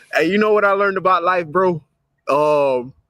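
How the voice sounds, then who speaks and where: A man with a high pitch and a bright, sharp tone speaks at a moderate pace with ordinary pitch variation. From Louisiana. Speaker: live show host. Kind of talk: casual chat.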